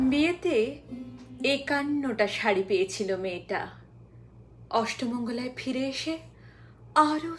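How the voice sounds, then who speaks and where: Her voice sits high in pitch. This woman's intonation rises and falls very widely. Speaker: poetry reciter. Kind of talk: poetry reading. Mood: expressive, dramatic delivery. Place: waterside.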